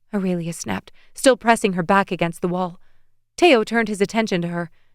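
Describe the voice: Pitch moves an ordinary amount in this plain reading aloud.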